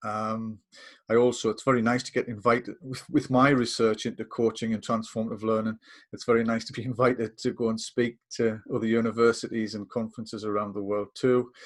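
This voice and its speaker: In a northeast English accent, a man talks fairly quickly at a medium pitch. His intonation is monotone and flat on a very clean recording with a silent background. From northeast England. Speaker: coaching lecturer. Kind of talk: casual chat. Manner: hesitant, many fillers.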